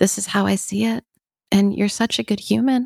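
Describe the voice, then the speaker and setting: Here a woman speaks in a normal speaking voice. Her pace is moderate, with ordinary pitch variation. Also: dry, close sound with no echo. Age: 40s. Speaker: therapist and podcast host. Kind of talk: casual chat.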